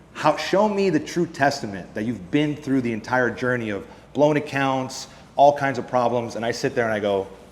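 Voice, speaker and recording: The voice has ordinary pitch variation and audible room echo. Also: man. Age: 20s. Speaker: futures trader and trading educator. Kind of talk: conference presentation.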